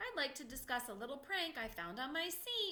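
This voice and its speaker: A woman uses a put-on character voice with a high pitch. Her pitch swings very widely. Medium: read story. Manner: jokey, theatrical.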